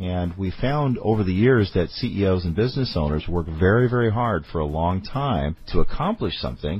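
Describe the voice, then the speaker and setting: With music in the background, a man with a very deep, low pitch speaks at a moderate pace with lively intonation and hardly any pauses. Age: 40s. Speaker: business podcast host and CEO. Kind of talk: podcast talk on business planning.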